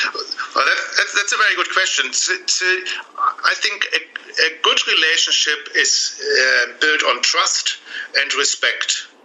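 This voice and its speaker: A man with a German accent at a very slow pace and very even loudness, over noticeable background noise. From Germany. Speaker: relationship coach. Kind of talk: interview. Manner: halting.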